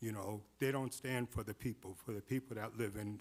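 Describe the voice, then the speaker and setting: A man speaks in an ordinary speaking voice at a fairly low pitch. His pace is moderate and his intonation fairly even. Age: 60s. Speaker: public commenter at city meeting. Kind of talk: public comment.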